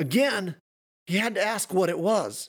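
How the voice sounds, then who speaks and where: A man's high-pitched voice with lively intonation, on a very clean recording with a silent background. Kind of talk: horror fiction reading.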